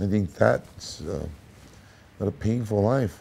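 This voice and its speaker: A man with an American accent speaks at a fairly low pitch, his tone dark and mellow. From USA. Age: 60s. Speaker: blues musician. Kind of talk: interview. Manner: halting.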